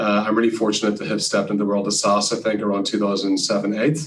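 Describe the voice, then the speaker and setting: A man with an Irish accent, fairly low in pitch, at a very fast pace with fairly even intonation and audible room echo. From Ireland. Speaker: sales executive. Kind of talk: interview.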